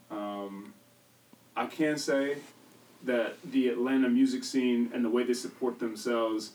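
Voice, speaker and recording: Speaking with an American accent, a man at a medium pitch talks fairly slowly with fairly even intonation and long, frequent pauses. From US Midwest. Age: 30s. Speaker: music producer. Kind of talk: casual interview chat.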